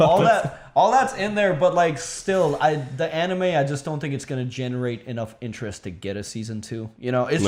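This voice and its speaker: A man speaks at a fairly quick pace in a fairly high pitch, with hardly any pauses. His pitch swings very widely over noticeable background noise. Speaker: video essay creator. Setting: group podcast or stream.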